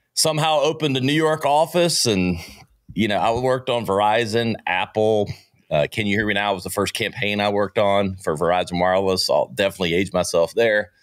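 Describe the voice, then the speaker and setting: A man speaks at a fairly quick pace in a fairly low pitch. His intonation is lively, and his loudness stays very even. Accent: Southern US. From US South, Greenville, South Carolina. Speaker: entrepreneur and marketing podcast host. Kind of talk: interview. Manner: animated.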